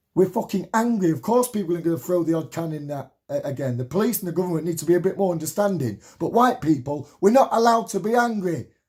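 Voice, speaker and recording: A man with a high pitch talks at a very fast pace with lively intonation and hardly any pauses, in a very clean recording with a silent background. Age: 30s. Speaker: political activist vlogger. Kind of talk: political rant. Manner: animated.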